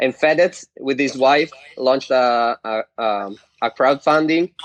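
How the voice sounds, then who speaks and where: A man at a medium pitch with an Italian accent, fairly slow and with ordinary pitch variation, in a dry, close sound with no echo. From Italy. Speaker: internet influencer. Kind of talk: casual chat.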